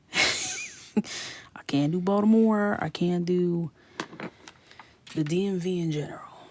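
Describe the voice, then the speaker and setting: Someone speaks in an American accent against noticeable background noise. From New York. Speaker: artist and live-stream host. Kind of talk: casual live-stream chat while coloring. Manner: animated.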